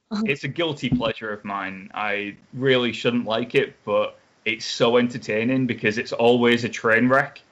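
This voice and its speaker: A man in a British accent at medium pitch and moderate pace, with fairly even intonation and hardly any pauses. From Britain. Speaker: wrestling podcast host. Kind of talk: casual interview chat.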